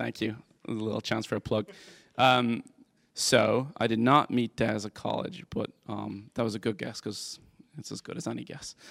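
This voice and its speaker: Speaking at a moderate pace in a Dublin accent, a man with a medium pitch, ordinary pitch variation and vocal fry is heard in a dry, close sound with no echo. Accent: Irish (Dublin). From Ireland, Dublin. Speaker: tech company CEO. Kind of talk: interview on stage.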